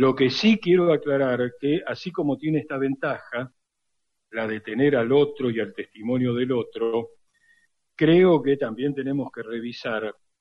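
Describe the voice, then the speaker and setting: The delivery is fairly slow. Its pitch shifts in an ordinary way. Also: man. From Argentina, Buenos Aires. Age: 60s. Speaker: radio historian and lecturer. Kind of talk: interview.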